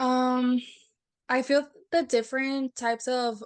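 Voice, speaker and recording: A woman with a Spanish accent talks at a very slow pace against a quiet background. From Texas border region, Brownsville. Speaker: university alumna. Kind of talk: casual interview. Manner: hesitant, many fillers.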